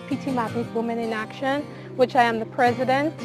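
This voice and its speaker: A woman speaks in a Caribbean accent with music in the background. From Grenada. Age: 20s. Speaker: aquaponics farmer. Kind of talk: interview answer.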